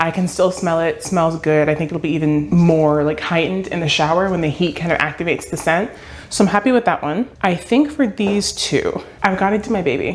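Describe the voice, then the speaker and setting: Over noticeable background noise, a woman speaks with a fairly low pitch. Her pace is fairly quick and her pitch varies in an ordinary way. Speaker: small business owner and vlogger. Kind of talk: casual vlog talk to camera. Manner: fast.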